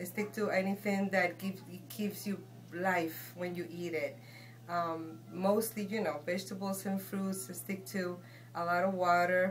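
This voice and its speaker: A woman's fairly low, somewhat breathy voice, with ordinary pitch variation, at a fairly slow pace. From Guatemala. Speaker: shaman and healer. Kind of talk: interview answer.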